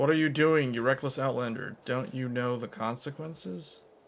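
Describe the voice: A man puts on a character voice, keeping his pitch medium and his pace moderate.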